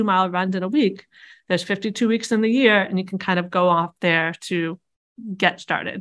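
Against a quiet background, a woman talks at a fairly quick pace in an unremarkable speaking voice, medium-pitched with fairly even intonation. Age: 40s. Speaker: quilter and online quilting community founder. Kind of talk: interview.

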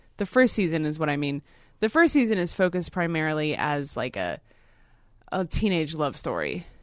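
Over a quiet background, a woman with an ordinary speaking voice talks at a fairly quick pace, her fairly low pitch carried by lively intonation. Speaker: podcast co-host. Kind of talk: casual chat.

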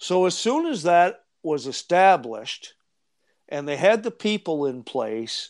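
A man with a high pitch against a quiet background. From Eastern Canada. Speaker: treasure hunter and researcher. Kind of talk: casual interview chat.

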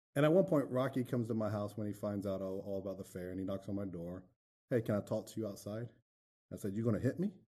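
A man with an American accent talks at a very fast pace and a fairly low pitch. His tone is dark and mellow, with ordinary pitch variation. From US South, Florida. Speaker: pastor, navy veteran. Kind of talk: testimony interview. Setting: studio.

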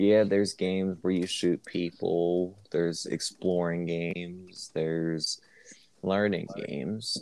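Very deep and low in pitch, a man speaks at a very slow pace with monotone, flat intonation. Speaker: podcast co-host. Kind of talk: casual chat. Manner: calm and slow.

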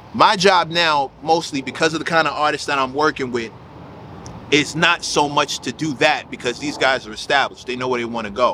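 There is noticeable background noise as a man with an American accent talks at a fairly high pitch. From South Jamaica, Queens, New York. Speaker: hip hop writer and label figure. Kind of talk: casual chat.

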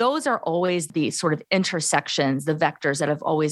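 A woman with an American accent talks at a fairly quick pace in a very deep, low pitch, captured on a very clean recording with a silent background. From US Midwest, Gary, Indiana. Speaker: professor and author. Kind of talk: interview.

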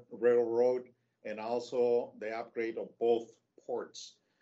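Here a man with a Spanish accent talks at medium pitch. His pace is very slow. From Mexico, Tijuana. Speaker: logistics executive. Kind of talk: interview. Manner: halting.

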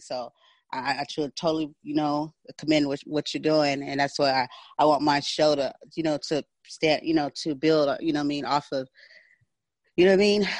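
Against a quiet background, a man with an American accent speaks fairly quickly at a fairly high pitch in a dry, close sound with no echo. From San Diego, California. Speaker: podcast host. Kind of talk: interview. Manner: animated.

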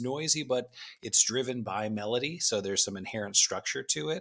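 On a very clean recording with a silent background, a man delivers his words at a moderate pace. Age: 40s. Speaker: podcast guest, music fan. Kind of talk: casual chat.

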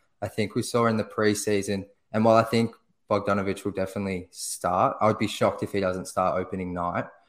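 A man's fairly low, monotone voice with flat intonation, very fast, with an Australian accent, in a very clean recording over a silent background. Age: 20s. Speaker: basketball blogger. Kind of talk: casual chat.

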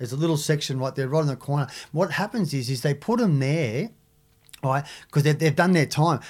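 Somewhat breathy and fairly high in pitch, a man with an Australian accent talks at a fairly quick pace with ordinary pitch variation on a very clean recording with a silent background. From Australia, Sydney (Maroubra). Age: 50s. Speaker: big wave surfer, former drug smuggler. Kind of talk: interview. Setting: studio. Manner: halting.

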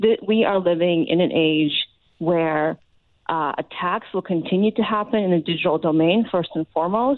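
An ordinary speaking voice from a woman with an American accent, fairly low in pitch, at a moderate pace, with ordinary pitch variation and very even loudness. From Ukraine, raised in the US from childhood. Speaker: foreign policy expert. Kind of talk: interview. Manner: frequent filler uh.

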